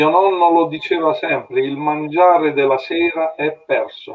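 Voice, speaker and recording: Male voice at a fairly slow pace with ordinary pitch variation over light background noise. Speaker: patient association representative. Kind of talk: casual chat. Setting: video call. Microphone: video call.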